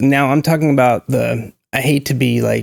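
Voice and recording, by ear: A man with an American accent, vocal fry and little pitch movement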